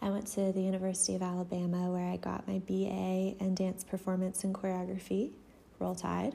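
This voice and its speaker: Fairly quick and somewhat breathy, a woman with an American accent speaks in a monotone, flat intonation at a very even loudness. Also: medium pitch for a woman. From Atlanta, Georgia (US South). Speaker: dance company founder and podcast host. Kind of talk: casual solo podcast monologue. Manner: hesitant, many fillers.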